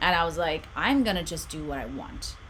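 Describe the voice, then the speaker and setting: The speaker has an Australian accent and an animated tone, talking at a fairly quick pace. Noticeable background noise and audible room echo fill the recording. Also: woman. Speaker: meditation channel host. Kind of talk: live stream chat. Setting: home room.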